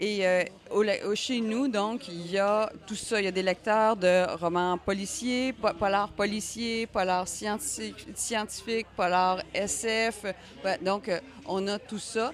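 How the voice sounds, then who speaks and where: Music plays in the background. The speech is very slow, with fairly even intonation. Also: woman, medium pitch for a woman. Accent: Quebec. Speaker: crime novelist. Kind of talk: radio interview.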